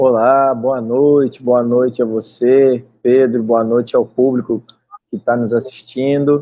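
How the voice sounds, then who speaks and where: A man speaks very slowly in a flat, monotone way. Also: medium pitch for a man. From southern Brazil, Rio Grande do Sul. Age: 20s. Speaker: singer-songwriter. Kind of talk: online interview. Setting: live stream.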